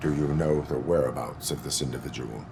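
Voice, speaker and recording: A man's put-on character voice with a very deep, low pitch at a fairly quick pace, over clear background noise. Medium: machinima. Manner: flat, precise, formal.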